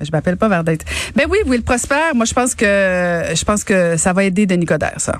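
A woman with a plain, everyday voice talks at a fairly quick pace with hardly any pauses, her medium pitch carrying lively intonation. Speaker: radio co-host. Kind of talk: casual chat about news.

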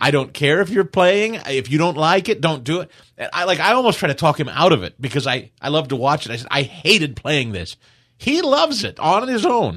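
Against a quiet background, a man with an American accent talks fairly quickly at a fairly high pitch, with vocal fry and very wide pitch swings. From US Midwest, Kansas City. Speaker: radio talk show host. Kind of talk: casual chat.

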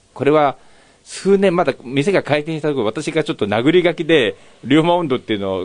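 A man with an ordinary speaking voice talks at a fairly quick pace. His pitch sits fairly high, with lively intonation. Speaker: yakitori restaurant owner. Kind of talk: interview.

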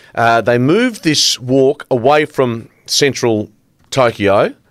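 At a very slow pace, a man with an Australian accent speaks at a medium pitch with ordinary pitch variation. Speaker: sports presenter. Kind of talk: sports news chat. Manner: hesitant, many fillers.

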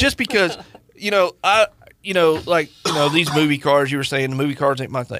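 In a normal speaking voice, a man talks at a fairly quick pace with fairly high pitch and ordinary pitch variation. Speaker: lawyer and car enthusiast co-host. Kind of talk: casual chat. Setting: studio.

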